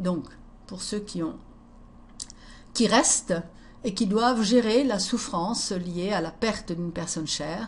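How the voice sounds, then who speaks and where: Speaking very slowly, a woman leaves long, frequent pauses in a somewhat breathy, medium-pitched voice. Her pitch varies in an ordinary way, and the room echo is audible. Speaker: speaker presenting her own conference talk. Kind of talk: presentation to camera, translated conference talk. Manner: hesitant, many fillers.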